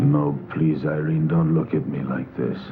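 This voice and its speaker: A man uses a put-on character voice at a moderate pace. Clear background noise is present. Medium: short film.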